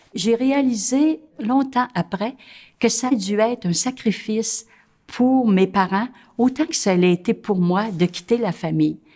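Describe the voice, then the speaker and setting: On a very clean recording with a silent background, a woman with fairly high pitch and a somewhat breathy voice speaks at a very slow pace with lively intonation. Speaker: nun. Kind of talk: interview testimony. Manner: hesitant, many filler sounds.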